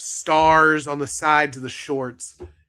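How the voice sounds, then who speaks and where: A man's fairly high voice with a bright, sharp tone, on a very clean recording with a silent background. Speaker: podcast host. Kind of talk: casual podcast talk.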